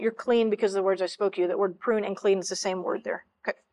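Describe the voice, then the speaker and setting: A woman speaks in an American accent at a very fast pace. The background is quiet. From central Texas. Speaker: church minister. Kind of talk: sermon.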